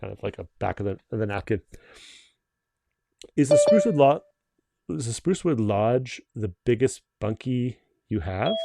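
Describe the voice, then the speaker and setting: A man with a Canadian accent, medium pitch, a dark, mellow tone, very wide pitch swings and big swings in loudness, at a moderate pace with long, frequent pauses, in dry, close sound with no echo. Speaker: company owner hosting livestream. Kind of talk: live stream Q&A. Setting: video call livestream. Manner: casual, many fillers and restarts.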